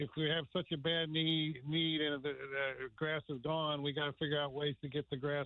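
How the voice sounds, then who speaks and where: A man speaks at a moderate pace with a fairly high pitch. His intonation is monotone and flat, and his loudness very even. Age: 70s. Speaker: caller, veteran angler. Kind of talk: phone-in call. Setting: phone call.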